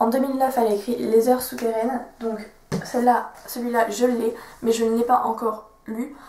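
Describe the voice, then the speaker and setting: A woman with a high voice talks at a fairly quick pace in a flat, monotone way over noticeable background noise. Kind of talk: casual book talk to camera.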